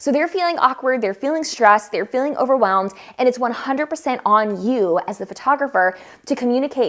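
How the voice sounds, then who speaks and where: The delivery moves at a fairly quick pace. Its intonation is lively. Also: woman. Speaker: photographer and educator. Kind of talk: tutorial. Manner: fast; animated.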